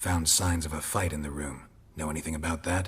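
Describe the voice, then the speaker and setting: In a put-on character voice, a man growls at a fairly quick pace with a very deep, low pitch. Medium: video game. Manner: terse, dry.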